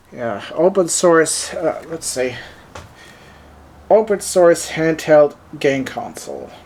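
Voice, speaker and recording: A man with a fairly high voice talks at a very slow pace, leaving long, frequent pauses and showing ordinary pitch variation. His loudness swings widely over noticeable background noise. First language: German. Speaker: tech reviewer. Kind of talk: product unboxing review. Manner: casual, halting with many fillers.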